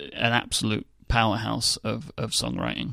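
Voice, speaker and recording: On a very clean recording with a silent background, a man speaks at medium pitch in a London accent. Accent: southern English (London). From England. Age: 20s. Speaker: podcast host. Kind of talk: casual chat.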